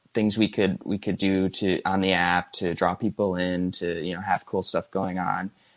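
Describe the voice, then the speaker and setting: A man talks with a Midwestern American accent. His pitch sits fairly low. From Michigan. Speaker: app design and illustration coordinator. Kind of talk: casual interview. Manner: halting, many fillers.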